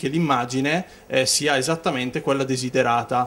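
Speaking in an ordinary speaking voice, a man with a fairly high pitch talks at a moderate pace with ordinary pitch variation. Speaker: photo retoucher. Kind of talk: interview. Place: office. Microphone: handheld.

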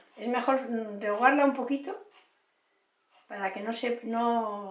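Against audible room echo, a woman speaks at a moderate pace with ordinary pitch variation. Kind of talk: cooking tutorial. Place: kitchen. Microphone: camera far.

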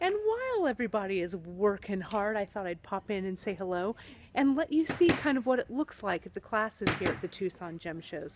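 Over noticeable background noise, a woman speaks at a moderate pace in a dry recording with no echo. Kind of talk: casual livestream chat. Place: hall. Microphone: phone near.

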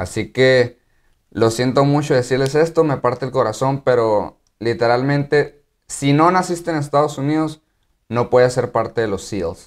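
A man with a Mexican accent speaks fairly slowly at a medium pitch with ordinary pitch variation over a quiet background. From Mexico. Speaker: YouTuber and active-duty Marine; YouTuber. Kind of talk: casual vlog explainer. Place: home room.

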